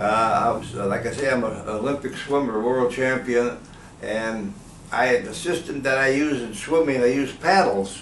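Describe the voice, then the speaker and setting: Speaking at a moderate pace, a man has a medium pitch. Noticeable background noise and audible room echo fill the recording. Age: 80s+. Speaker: patient, senior athlete. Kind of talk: testimony. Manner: halting.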